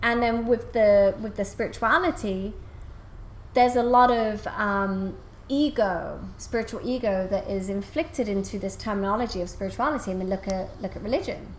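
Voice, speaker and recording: There is audible room echo around a woman whose fairly high voice shows ordinary pitch variation. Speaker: spiritual coach and channel. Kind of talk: interview conversation. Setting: podcast interview. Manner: fast; animated.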